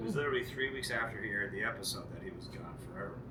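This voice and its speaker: The speaker is a man. He talks very fast, with noticeable background noise present. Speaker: pub host, screech-in ceremony leader. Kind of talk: pub ceremony storytelling to an audience.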